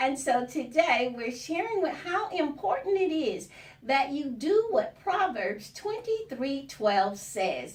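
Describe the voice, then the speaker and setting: A woman at a fairly slow pace with very wide pitch swings over noticeable background noise. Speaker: radio show host. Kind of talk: radio show opening.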